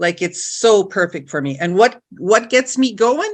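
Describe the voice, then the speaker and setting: Against a quiet background, a woman with a plain, everyday voice speaks fairly slowly with lively intonation. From northwestern Ontario, Canada (First Nations). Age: 60s. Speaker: identity and purpose coach. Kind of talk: casual chat.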